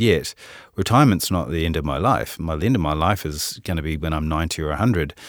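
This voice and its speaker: This recording is very clean, and the background is completely silent. A man talks at a rather brisk speed. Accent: New Zealand. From New Zealand, Auckland. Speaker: head of asset management, investment executive. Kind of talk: interview conversation. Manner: hesitant, filler-heavy.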